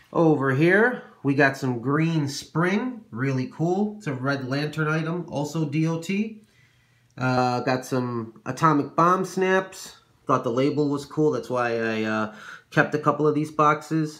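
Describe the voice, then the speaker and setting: A man talks at a fairly slow pace with lively intonation. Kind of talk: casual show-and-tell narration. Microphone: phone near.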